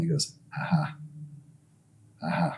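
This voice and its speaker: A man's dark, mellow tone. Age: 50s. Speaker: recovering addict guest. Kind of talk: testimony. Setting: on a couch.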